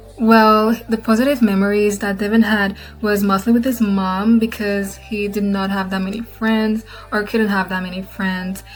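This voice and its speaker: Music plays in the background as a woman speaks with a slight non-native accent. Her medium-pitched voice stays monotone and flat. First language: not English. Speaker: gaming content creator. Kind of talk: casual Q&A talk to camera.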